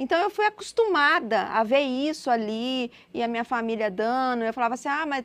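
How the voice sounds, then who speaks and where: A woman talks at a moderate pace, her pitch high and her intonation lively. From Brazil, Minas Gerais. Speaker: missionary. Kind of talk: interview testimony.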